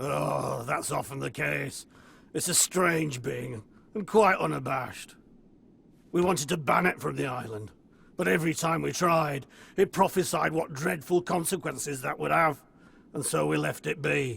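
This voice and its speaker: A man puts on a raspy character voice at a fairly high pitch. He talks at a moderate pace. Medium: video game. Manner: smug, evasive.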